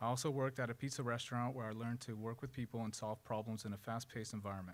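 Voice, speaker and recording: Here a man speaks at a very fast pace. His pitch is medium and his intonation fairly even. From Russia, raised in California Central Valley. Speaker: student paramedic and firefighter. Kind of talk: prepared speech at press conference. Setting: press conference at a college campus. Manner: slightly halting, reading prepared remarks.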